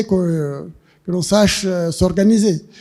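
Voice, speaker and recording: Music plays in the background as a man speaks at a very slow pace. His high voice shows ordinary pitch variation. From Rwanda. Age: 70s. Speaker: author. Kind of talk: literary discussion. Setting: public library event with audience. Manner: halting.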